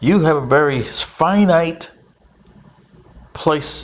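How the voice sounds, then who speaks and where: Over noticeable background noise, a man with a fairly high pitch talks very slowly, using ordinary pitch variation. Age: 60s. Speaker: political commentator. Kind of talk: casual monologue.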